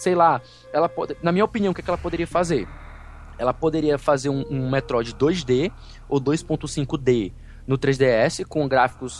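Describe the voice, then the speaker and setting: Noticeable background noise sits behind a man with a fairly high pitch, who talks at a fairly slow pace with ordinary pitch variation. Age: 30s. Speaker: podcaster. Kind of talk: casual chat.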